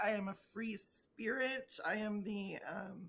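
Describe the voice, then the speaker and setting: Delivered with an American accent, the speech shows ordinary pitch variation. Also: woman. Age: 40s. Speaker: podcast guest, activist and athlete. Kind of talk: casual interview chat. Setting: remote recording, separate locations. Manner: animated.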